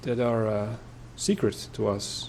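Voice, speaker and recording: A man at medium pitch talks at a very slow pace. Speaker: video game let's player. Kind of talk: gameplay commentary. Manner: halting.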